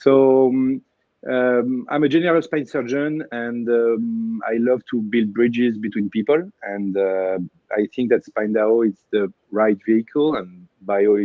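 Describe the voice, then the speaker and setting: A man with a French accent, at a fairly slow pace. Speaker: spine surgeon. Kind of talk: panel discussion. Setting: livestream. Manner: halting.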